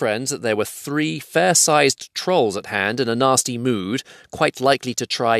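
Natural reading, with pitch that shifts in an ordinary way

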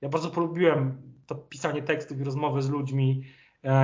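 Fairly even intonation in a space with audible room echo. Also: man. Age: 30s. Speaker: political journalist. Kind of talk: interview. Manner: halting, many repetitions.

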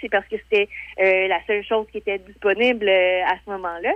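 Speaking at a fairly quick pace, the woman has a medium pitch. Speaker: weekly columnist. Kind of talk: radio column chat. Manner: hesitant, many fillers.

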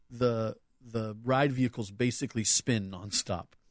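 With a plain, everyday voice, this man holds a medium pitch that rises and falls in an ordinary way. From Southern California, US. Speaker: returning podcast guest, theme park fan. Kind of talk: casual chat.

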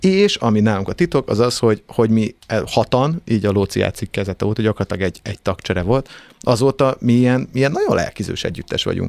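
The delivery is very fast, with lively intonation. The sound is dry and close, with no echo. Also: man, medium pitch for a man. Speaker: singer and band frontman. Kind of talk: casual chat. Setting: studio.

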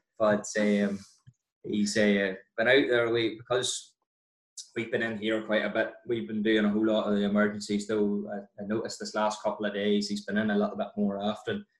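A man talks at a moderate pace in a Northern Irish accent. His intonation is monotone and flat. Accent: Northern Irish (County Down). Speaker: dentist. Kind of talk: casual chat.

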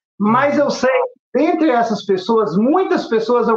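A man's extremely high pitch at a moderate pace, with music in the background. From Pernambuco and Ceará, Brazilian Northeast. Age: 40s. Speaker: artisan and YouTube craft creator. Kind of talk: casual interview chat. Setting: remote video call.

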